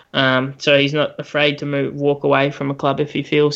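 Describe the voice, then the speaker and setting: With an Australian accent, a man speaks at a fairly quick pace and a fairly high pitch over a quiet background. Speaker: sports podcast co-host. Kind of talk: casual chat.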